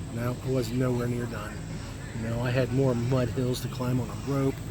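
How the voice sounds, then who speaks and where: A man's medium-pitched voice at a fairly quick pace, monotone and flat in intonation, with noticeable background noise and audible room echo. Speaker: travel vlogger. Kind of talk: casual vlog monologue. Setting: outdoors at a festival. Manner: hesitant with fillers.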